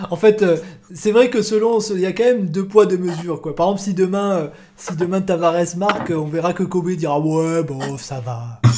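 There is noticeable background noise as a man with a high pitch talks with ordinary pitch variation. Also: moderate pace. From Marseille. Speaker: football podcast host and streamer. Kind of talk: casual live-stream football chat. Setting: live stream.

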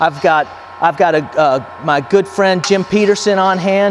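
A man with a high voice talks over light background noise. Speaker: company product demonstrator. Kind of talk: product demonstration. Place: garage.

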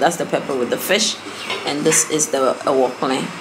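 A woman speaks with a very deep, low pitch. Noticeable background noise runs underneath. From Ghana. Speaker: cooking vlogger. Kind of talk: cooking tutorial narration. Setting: outdoors cooking on charcoal fire. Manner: casual, with fillers and restarts. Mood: relaxed, explanatory. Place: home room. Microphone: camera far.

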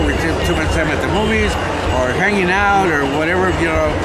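A man talking at a fairly quick pace, dry with no echo, music in the background. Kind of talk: interview answer. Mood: reflective, philosophical. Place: hall. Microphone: phone near.

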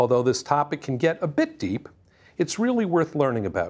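This is a man's voice. His pitch swings very widely. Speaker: presenter. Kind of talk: tutorial. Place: studio. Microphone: lapel.

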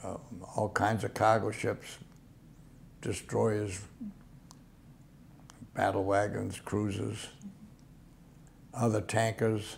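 Somewhat breathy and monotone, a man speaks very slowly, with long, frequent pauses. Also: fairly low pitch for a man. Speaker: World War II Navy veteran. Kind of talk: oral history interview answer.

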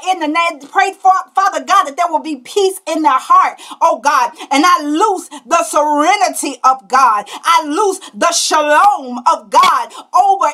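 Against a quiet background, a woman's raised, projected voice rings out at an extremely high pitch with a bright, sharp tone, ordinary pitch variation and a fairly slow pace. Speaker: prophetess leading an online prayer broadcast. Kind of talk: fervent, declarative intercessory prayer, rebuking the enemy. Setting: livestream video broadcast. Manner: impassioned and forceful, stammering repetitions as she builds intensity; punctuates lines with hallelujah, ecstatic call-and-response energy. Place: home room. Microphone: webcam.

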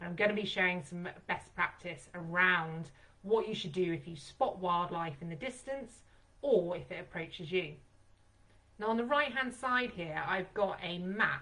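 Her tone bright and sharp, a woman speaks at a moderate pace with lively intonation and big swings in loudness. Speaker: presenter. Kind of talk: webinar presentation. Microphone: video call.

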